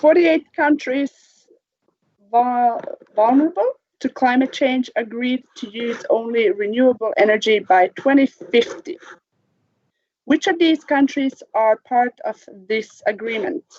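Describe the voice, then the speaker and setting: Pausing long and often, a woman with a high pitch speaks at a fairly slow pace. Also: lively intonation. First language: not English; English is her third language. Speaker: quiz host, teacher. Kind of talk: online quiz show.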